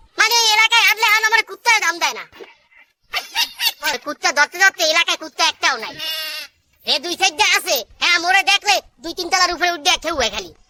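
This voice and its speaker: At a fairly quick pace, this cartoonish character voice sits at an extremely high pitch. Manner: wheedling, colloquial.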